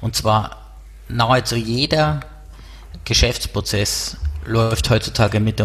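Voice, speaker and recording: Here a man speaks with a Bavarian accent. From Bavaria, near Erding. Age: 30s. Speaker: startup co-founder. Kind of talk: interview.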